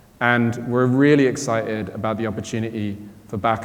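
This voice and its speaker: A man with a British accent speaks at a moderate pace in a fairly low pitch, his intonation flat and monotone, with audible room echo. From Britain. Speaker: quantum computing company co-founder and chief scientist. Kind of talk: panel discussion answer.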